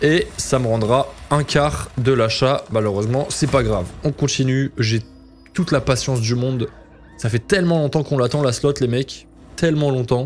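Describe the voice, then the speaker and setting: With music in the background, a man speaks at a very even loudness. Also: medium pitch for a man, ordinary pitch variation. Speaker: casino streamer. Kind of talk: live slot commentary. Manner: fast; animated.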